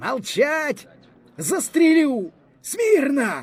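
A man shouts in a put-on character voice at an extremely high pitch. His voice is hoarse. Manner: frightened, shouting.

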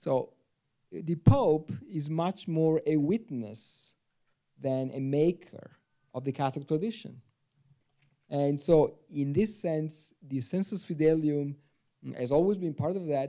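A dark, mellow voice with an Italian accent, very slow pace, long and frequent pauses and ordinary pitch variation, against a quiet background. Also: man, fairly high pitch for a man. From Italy. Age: 40s. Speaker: theology professor. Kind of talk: panel discussion. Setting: stage with audience. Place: hall. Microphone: handheld.

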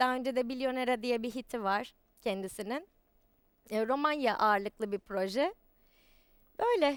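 A woman speaks in a high voice at a moderate pace. Her speech has long, frequent pauses. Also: ordinary pitch variation. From Istanbul, Turkey. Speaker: singer and stage actress. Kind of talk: interview.

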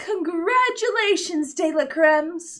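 In a put-on character voice, a female-sounding speaker goes at a fairly slow pace with an extremely high pitch. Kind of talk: clear. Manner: haughty.

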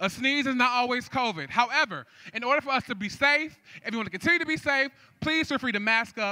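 The voice is raised and projected, with a bright, sharp tone and an animated delivery. It moves at a very fast pace with ordinary pitch variation over a quiet background. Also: man, extremely high pitch for a man. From San Francisco Bay Area. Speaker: event MC. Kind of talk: live event hosting. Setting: stage with audience. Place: stage. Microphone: handheld.

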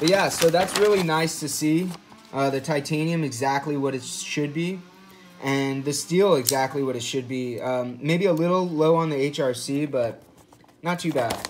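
Male voice at a moderate pace with ordinary pitch variation, music playing in the background. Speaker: knife enthusiast reviewer. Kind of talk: casual commentary on test results. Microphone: phone near.

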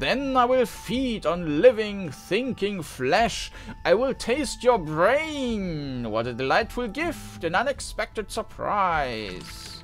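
Over clear background music, a put-on character voice at a middle pitch hisses its way along at a very slow pace. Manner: hissing, menacing.

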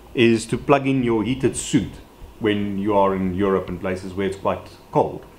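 He talks with a plain, everyday voice. The man's pace is moderate, and his pitch varies in an ordinary way. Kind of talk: casual how-to vlog explanation. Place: garage.

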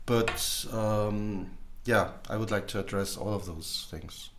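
A man speaks at a very slow pace with a fairly low pitch. His pitch variation is ordinary. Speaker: communication trainer and assessor. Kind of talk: casual conversation. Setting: video call. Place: home room.

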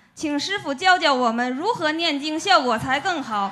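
Over light background noise, a woman with a high pitch uses a raised, projected voice and lively intonation at a moderate pace. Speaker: disciple asking question at seminar; audience member. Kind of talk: formal question at Dharma seminar. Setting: seminar hall with audience. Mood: polite, respectful. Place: hall. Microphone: handheld.

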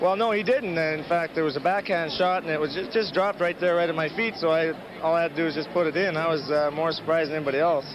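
Over noticeable background noise, a man talks very fast at a high pitch with fairly even intonation. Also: hardly any pauses. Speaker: professional hockey defenseman. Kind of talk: intermission interview. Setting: arena rinkside interview. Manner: halting, many uh fillers.

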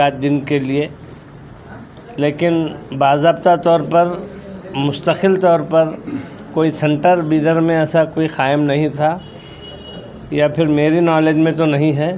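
Faint background noise sits behind a man whose slightly mellow, fairly high voice moves little in pitch as he speaks at a fairly slow pace.

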